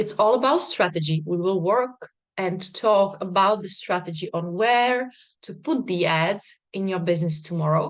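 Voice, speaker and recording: This woman has a medium pitch and ordinary pitch variation. She speaks at a moderate pace. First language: not English, not Czech. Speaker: business coach. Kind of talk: online masterclass.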